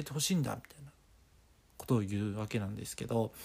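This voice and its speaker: In a relaxed tone, a man with a medium-pitched voice speaks with lively intonation. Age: 20s. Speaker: podcast host. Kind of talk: casual chat. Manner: relaxed rambling.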